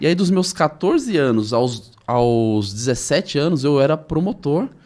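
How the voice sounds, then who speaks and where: In a normal speaking voice, the speaker goes at a fairly slow pace with lively intonation, captured on a very clean recording with a silent background. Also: man. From Brazil, Osasco (São Paulo area). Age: 40s. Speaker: entrepreneur. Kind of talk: interview.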